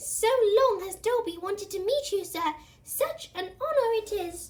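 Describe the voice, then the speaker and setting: Using a put-on character voice, a woman speaks at an extremely high pitch and a moderate pace. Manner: eager, reverent.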